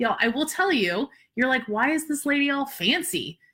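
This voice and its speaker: Raised and projected, a woman's high-pitched voice comes across bright, sharp and animated at a fairly quick pace. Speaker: social media business coach. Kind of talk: live-streamed webinar talk.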